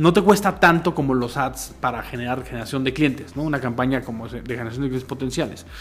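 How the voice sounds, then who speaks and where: A man talks at a very fast pace with hardly any pauses. His pitch sits in the medium range. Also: ordinary pitch variation. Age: 40s. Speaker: marketing consultant and teacher. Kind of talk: casual interview chat.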